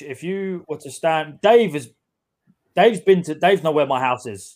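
The speaker talks with a London accent and lively intonation. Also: man. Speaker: podcast co-host. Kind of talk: casual chat.

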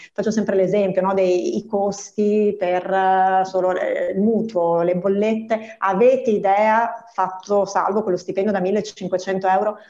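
At a fairly slow pace, a woman speaks with monotone, flat intonation at a medium pitch. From Veneto, province of Treviso. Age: 40s. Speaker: bank employee. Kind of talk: radio interview.

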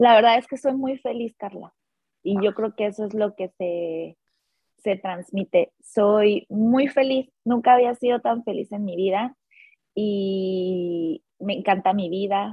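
The speaker is a woman with a medium pitch. Her delivery is very slow, and her pitch varies in an ordinary way. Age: 30s. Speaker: life coach. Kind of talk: casual chat. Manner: animated.

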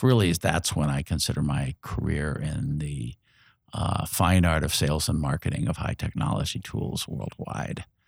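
On a very clean recording with a silent background, a man with an American accent talks with lively intonation and vocal fry. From Indianapolis, Indiana, US Midwest. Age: 60s. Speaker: community organizer and retired engineer. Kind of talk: interview. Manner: halting, many fillers.

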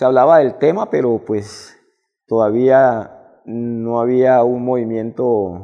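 A man's medium-pitched voice at a very slow pace. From Barrancabermeja, Colombia. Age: 50s. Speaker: ballet dancer and choreographer. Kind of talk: interview.

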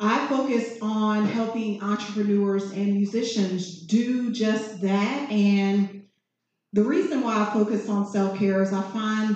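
A woman with an American accent and a plain, everyday voice speaks at a fairly slow pace, medium in pitch with fairly even intonation. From Virginia, US. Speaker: massage therapist and business owner. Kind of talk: panel discussion. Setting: live event with audience.

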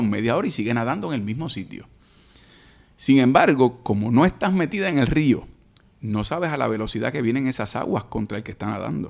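With a normal speaking voice, a man talks at a fairly quick pace and medium pitch, his intonation lively, on a very clean recording with a silent background. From Puerto Rico, Caguas. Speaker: senator and lawyer. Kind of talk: casual interview.

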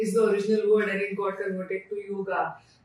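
A woman speaks at a moderate pace with a Marathi Indian accent, and the room echo is audible. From India, Pune (Maharashtra). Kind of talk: interview. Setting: in her store.

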